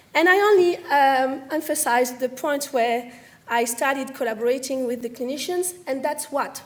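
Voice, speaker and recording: Speaking with a French accent, a woman talks at a fairly quick pace in a high pitch with ordinary pitch variation. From French Caribbean. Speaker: medical science liaison, former researcher. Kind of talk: career talk to audience.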